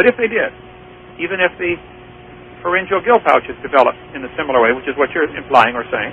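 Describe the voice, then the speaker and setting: Over noticeable background noise, a man with an American accent talks at a very fast pace in a high pitch for a man, his pitch swinging very widely and his loudness in big swings, broken by long, frequent pauses. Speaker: creationist lecturer and radio host. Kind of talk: radio call-in debate. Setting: radio studio.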